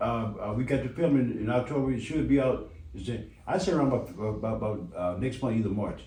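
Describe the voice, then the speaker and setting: Here a man talks at medium pitch and a fairly quick pace, with lively intonation and hardly any pauses. Noticeable background noise and audible room echo fill the recording. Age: 70s. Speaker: actor, father of a rapper. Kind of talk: radio interview. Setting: radio studio. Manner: halting, repetitive.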